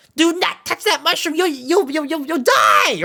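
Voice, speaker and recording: A squeaky, high-pitched put-on character voice. It moves at a moderate pace. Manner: funny, fretful warning.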